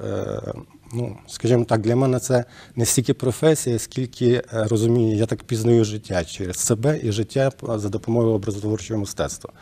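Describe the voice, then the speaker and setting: A man's voice with a dark, mellow tone. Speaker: guest. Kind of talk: interview answer. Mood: calm, reflective. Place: studio. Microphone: lapel.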